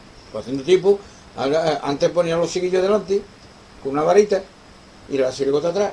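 A man talks at a fairly quick pace with a high pitch and ordinary pitch variation. He leaves long, frequent pauses. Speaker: guitar teacher. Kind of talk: interview.

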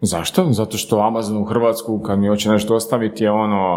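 Amid noticeable background noise, a man speaks at a fairly quick pace in a fairly low voice. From Slavonski Brod, Croatia. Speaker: startup co-owner. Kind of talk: casual chat.

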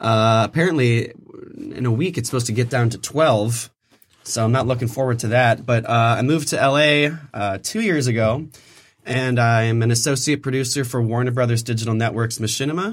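Using an unremarkable speaking voice with an American accent, a man talks at a fairly quick pace and medium pitch, with ordinary pitch variation. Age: 20s. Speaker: host's brother. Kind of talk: casual chat. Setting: studio.

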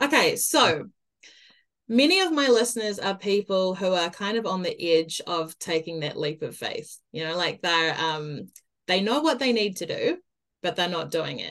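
Lively intonation and an enthusiastic tone mark this woman's speech in a New Zealand accent. She has a medium pitch and keeps a moderate pace. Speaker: podcast host and mindset coach. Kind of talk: interview.

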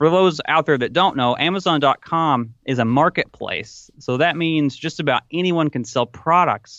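With a Tennessee accent, a man talks at a moderate pace using lively intonation. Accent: Southern US (Tennessee), noticeable. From US South, Tennessee. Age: 20s. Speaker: online retail entrepreneur. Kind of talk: podcast interview.

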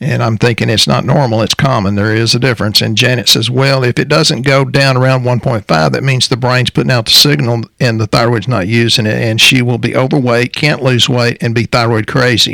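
A man speaks with a Texan accent and vocal fry. His tone is bright and sharp, and his loudness stays very even. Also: ordinary pitch variation. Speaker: natural health practitioner co-hosting a health podcast. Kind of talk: casual health talk show. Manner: fast.

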